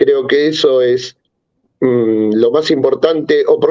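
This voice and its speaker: A man at a fairly slow pace. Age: 60s. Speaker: engineer, factory owner. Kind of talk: panel discussion.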